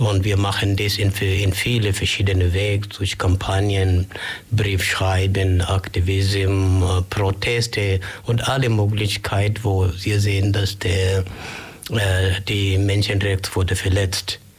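Over noticeable background noise, a man with a fairly low pitch speaks at a very slow pace in a monotone, flat intonation with very even loudness. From Kenya, Migori County. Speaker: human rights volunteer. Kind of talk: radio interview. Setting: radio studio. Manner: halting.

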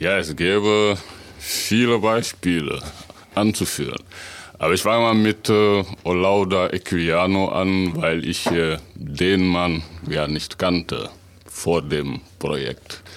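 At a very slow pace broken by long, frequent pauses, a man speaks with a very deep, low pitch, very even loudness and ordinary pitch variation. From Senegal. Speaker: author and translator. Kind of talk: radio interview.

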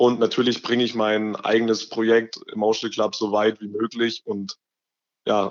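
A man speaks at a moderate pace. His voice is fairly low with little pitch movement.

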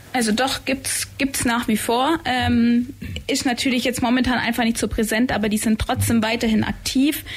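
A woman speaks at a high pitch and moderate pace with monotone, flat intonation and very even loudness. Noticeable background noise runs behind her. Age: 20s. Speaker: climate activist. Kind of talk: radio interview. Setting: radio studio.

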